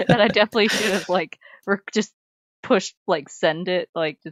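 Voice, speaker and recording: A soft-spoken woman talks at a medium pitch with fairly even intonation, in a dry, close sound with no echo. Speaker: streamer. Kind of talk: casual chat. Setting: live stream.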